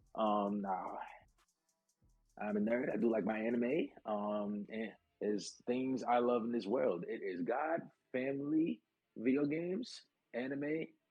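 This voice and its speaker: With music in the background, a man in a New York accent talks at a fairly slow pace with ordinary pitch variation and long, frequent pauses. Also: medium pitch for a man. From New York City, Brooklyn. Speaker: pro wrestler and navy cook. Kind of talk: casual chat. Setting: live stream.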